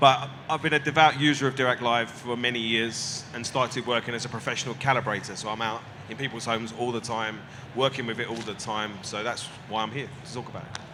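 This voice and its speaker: Over noticeable background noise, a man with a British accent talks at a very fast pace, at a medium pitch with fairly even intonation. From Britain. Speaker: audio reviewer and calibrator. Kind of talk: panel discussion. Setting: stage with audience.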